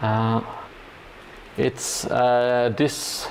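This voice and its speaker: Noticeable background noise sits behind a man speaking at a medium pitch with a Norwegian accent. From Norway. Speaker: hobby livestreamer building a gaming board. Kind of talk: casual livestream chat while crafting. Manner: halting, many fillers.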